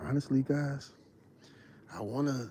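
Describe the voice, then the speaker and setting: A man's dark, mellow tone at a very slow pace. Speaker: hunting livestreamer. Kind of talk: live stream chat. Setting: outdoors in the woods. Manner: loud.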